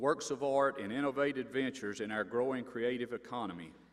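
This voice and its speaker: This man has an Appalachian accent and a medium pitch. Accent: Appalachian Southern US. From North Carolina mountains. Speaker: university board member, former sheriff. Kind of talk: commencement speech. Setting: stage with audience.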